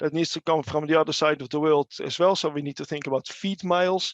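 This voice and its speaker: With a Dutch accent, a man speaks at a high pitch and fairly even intonation, the sound dry and close with no echo. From Netherlands. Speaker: animal nutrition researcher. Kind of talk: webinar presentation. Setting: online webinar. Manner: halting, many fillers and repeats.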